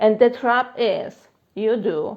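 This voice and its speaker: This is a woman speaking with a Polish accent. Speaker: manifestation coach. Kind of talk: live Q&A stream. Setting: Instagram live stream. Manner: casual, filler-heavy.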